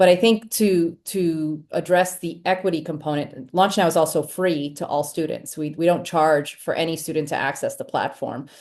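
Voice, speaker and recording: With hardly any pauses, a woman speaks at a moderate pace in a fairly low pitch and fairly even intonation against a quiet background. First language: not English. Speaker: education nonprofit leader. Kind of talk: panel discussion.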